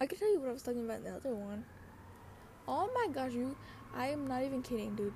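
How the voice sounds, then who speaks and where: A soft-spoken woman with a high voice talks very fast with lively intonation. She takes long, frequent pauses, and background noise is noticeable. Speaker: solo podcaster. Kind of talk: casual personal monologue. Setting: bedroom with open window, street noise. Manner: rambling, filler-heavy.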